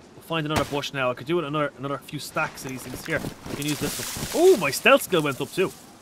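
A man with a Dublin accent, fairly high in pitch, at a very fast pace with ordinary pitch variation, over noticeable background noise. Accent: Dublin Irish. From Ireland. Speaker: gaming streamer. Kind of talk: live gameplay commentary. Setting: live stream at home, reading chat. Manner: animated; playful.

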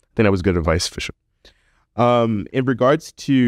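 Over a quiet background with a dry sound and no echo, a man speaks with vocal fry and very wide pitch swings. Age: 30s. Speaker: podcast host and medical student; podcast host. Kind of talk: casual chat. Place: studio. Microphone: studio mic.

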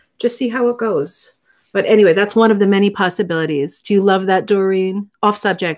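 Over a quiet background, a woman talks at a fairly quick pace with ordinary pitch variation and very even loudness. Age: 40s. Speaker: rug hooking teacher and live stream host; rug hooking teacher, live stream host. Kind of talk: casual live chat and craft tutorial. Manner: chatty, animated. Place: home room. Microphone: webcam.

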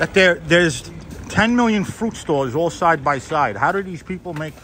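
A man's fairly high, fairly bright voice at a fairly slow pace, with lively intonation over faint background noise

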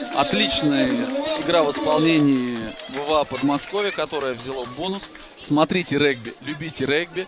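Crowd noise fills the background as a man talks at a fairly high pitch. He keeps a moderate pace with ordinary pitch variation. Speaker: rugby commentator. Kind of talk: live sports commentary over match highlights. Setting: voiceover on highlights video.

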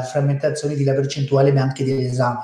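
The voice has a dark, mellow tone and is somewhat breathy, in a Spanish accent. Audible room echo surrounds it. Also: man. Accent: Spanish-accented Italian. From Spain. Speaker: fertility doctor. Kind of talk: webinar presentation. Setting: online webinar. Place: office. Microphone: webcam.

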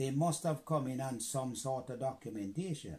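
A man with a dark, mellow tone speaks fairly slowly in a somewhat breathy voice, his pitch fairly high with ordinary variation. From Jamaica. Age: 90s. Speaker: war veteran. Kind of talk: interview answer. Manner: deliberate, measured. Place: home room. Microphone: phone near.

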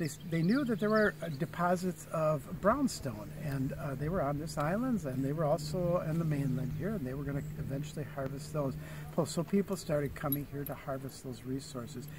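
This man talks at a moderate pace with ordinary pitch variation. The sound is dry with no echo, though background noise is noticeable. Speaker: park ranger guide. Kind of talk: guided tour talk. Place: open country. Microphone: phone near.

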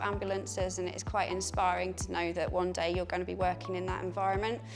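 Clear music plays in the background. Over it, a woman talks at a very fast pace. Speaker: medical student tour guide. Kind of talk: guided tour presentation. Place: hall.

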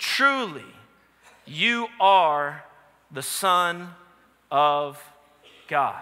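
Speaking at a very slow pace with long, frequent pauses, a man with an American accent has a bright, sharp tone and lively intonation. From New Orleans, US. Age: 30s. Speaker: pastor. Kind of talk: sermon. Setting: church. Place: church. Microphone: headset.

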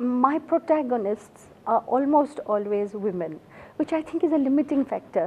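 At a moderate pace, a woman with an Assamese accent speaks in a high voice with lively intonation. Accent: Indian English (Assamese). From India, Assam. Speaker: novelist. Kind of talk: interview. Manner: halting. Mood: warm, reflective. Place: studio.

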